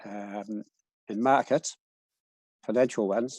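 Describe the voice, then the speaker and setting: A man with a New Zealand accent talks at a fairly slow pace in a medium-pitched, dark and mellow voice with fairly even intonation, the sound dry and close with no echo and the background quiet. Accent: New Zealand, noticeable. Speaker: cycles researcher. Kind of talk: presentation. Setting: video call. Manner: halting, many fillers.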